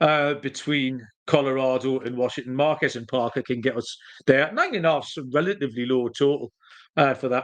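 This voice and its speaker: A man with a strong Geordie accent talks at a fairly quick pace, his intonation fairly even, over a quiet background. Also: medium pitch for a man. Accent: strong northeast English (Geordie). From northeast England, Newcastle. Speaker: sports betting podcast host. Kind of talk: solo podcast betting picks. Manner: casual, with many fillers.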